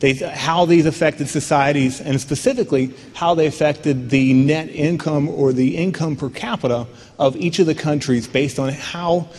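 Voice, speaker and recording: A man with fairly high pitch and fairly even intonation. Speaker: company CEO and conference keynote speaker. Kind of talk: conference keynote presentation. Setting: conference stage with audience. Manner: loud.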